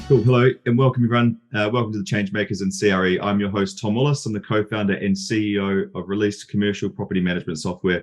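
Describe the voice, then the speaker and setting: Very fast speech comes from a man with a New Zealand accent, a fairly low pitch and fairly even intonation. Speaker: podcast host and software company CEO. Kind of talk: interview.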